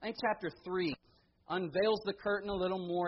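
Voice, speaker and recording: This man talks with a high-pitched voice. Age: young. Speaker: preacher. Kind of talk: sermon.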